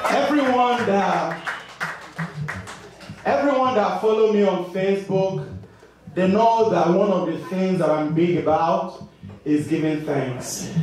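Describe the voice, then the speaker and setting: A man's fairly slow speech with lively intonation and long, frequent pauses, in strong room echo with light background noise. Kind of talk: stage banter to audience. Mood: warm, grateful. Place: stage.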